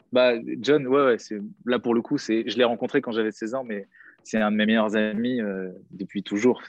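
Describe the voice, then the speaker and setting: At a moderate pace, a man speaks with a medium pitch and fairly even intonation. Long, frequent pauses break up his speech. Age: 30s. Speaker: DJ and music producer. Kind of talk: casual chat.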